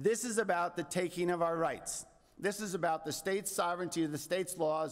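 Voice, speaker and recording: A man speaks at a moderate pace in a high voice with ordinary pitch variation. The background is quiet. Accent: American. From New York. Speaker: landowner association president; witness. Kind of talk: testimony. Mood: indignant, earnest. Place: hall. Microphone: podium.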